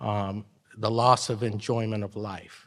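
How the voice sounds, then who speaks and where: A man is speaking. His tone is bright and sharp. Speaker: attorney. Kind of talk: conference presentation. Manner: informal.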